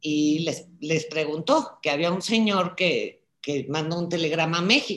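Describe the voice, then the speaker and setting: A woman speaks with a fairly low pitch and ordinary pitch variation. Her pace is fairly slow, an ordinary speaking voice. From Czech Republic, raised in Prague, later Mexico. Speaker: daughter of a Holocaust survivor. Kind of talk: video call conversation. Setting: video call.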